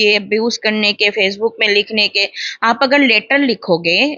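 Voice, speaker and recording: Ordinary pitch variation marks a woman's fairly high-pitched voice. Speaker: animal welfare activist. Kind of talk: interview.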